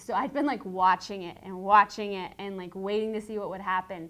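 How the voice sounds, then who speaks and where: With a slight Southern US accent, the speaker talks at a fairly quick pace. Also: woman. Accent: slight Southern twang. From Tennessee. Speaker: student morning show host. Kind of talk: casual chat.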